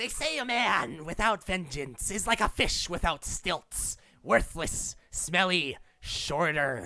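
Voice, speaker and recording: A man puts on a squeaky character voice, high in pitch, and delivers it at a fairly slow pace. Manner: dramatic, theatrical.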